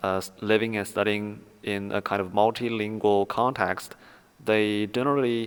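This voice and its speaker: In a Chinese accent, a man speaks at a fairly low pitch with monotone, flat intonation. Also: moderate pace. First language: Mandarin Chinese. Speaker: academic research explainer. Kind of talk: lecture. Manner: halting, many fillers.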